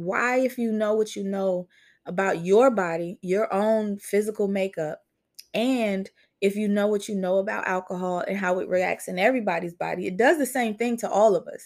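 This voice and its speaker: Very clean recording, silent background, a woman with an unremarkable speaking voice at a medium pitch. She keeps a moderate pace with ordinary pitch variation. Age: 30s. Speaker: podcaster. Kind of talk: casual chat. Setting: livestream.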